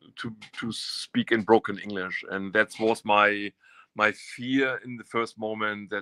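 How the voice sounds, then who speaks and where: A man with a German accent, fairly low-pitched, with a bright, sharp tone and monotone, flat intonation, in a dry, close sound with no echo. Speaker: artist. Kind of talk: interview. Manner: halting.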